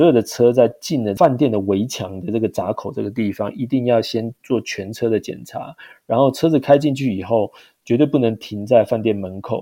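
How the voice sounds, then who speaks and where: Medium-pitched male speech at a moderate pace, a plain, everyday voice. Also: ordinary pitch variation. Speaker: overseas sales manager. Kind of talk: interview.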